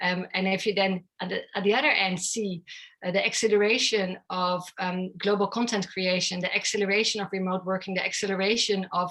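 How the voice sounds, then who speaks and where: A woman's medium-pitched voice, fairly quick in pace and monotone and flat in intonation. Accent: Dutch. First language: Dutch. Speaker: tech company founder and CEO. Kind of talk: interview.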